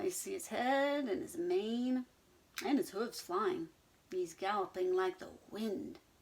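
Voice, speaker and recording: This female-sounding, put-on character voice sits high in pitch, swings very widely in pitch, and moves at a fairly slow pace. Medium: read story. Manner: snorting, whinnying.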